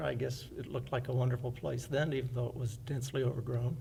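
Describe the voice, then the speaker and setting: In an American accent, a man talks at a moderate pace and medium pitch with a dark, mellow tone, vocal fry and fairly even intonation, with audible room echo around him. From US South, Fairhope, Alabama. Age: 60s. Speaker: oral history interviewee. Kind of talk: oral history testimony.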